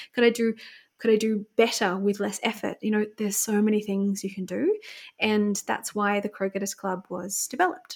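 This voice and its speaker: A woman with an Australian accent, her pitch fairly high, a fairly quick pace, on a very clean recording with a silent background. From New South Wales, Australia (small coastal town south of Sydney). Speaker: business co-founder. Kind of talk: casual interview.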